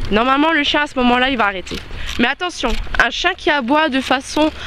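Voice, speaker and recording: Over noticeable background noise, a woman with a high voice speaks at a moderate pace. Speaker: dog trainer. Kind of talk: tutorial. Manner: halting.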